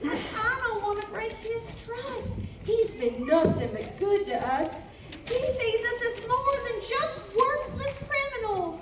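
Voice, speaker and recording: A woman puts on a character voice with an extremely high pitch and a drawling Western US accent, speaking at a fairly slow pace. Loud background noise and a clear echo surround her. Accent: old West rural. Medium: stage play. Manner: folksy country drawl.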